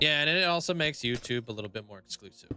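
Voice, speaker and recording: Shouting at a very fast pace with lively intonation, a man is heard over noticeable background noise. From Canada. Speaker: Minecraft live streamer. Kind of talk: casual live-stream chat. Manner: loud, often yelling; filler-heavy with restarts.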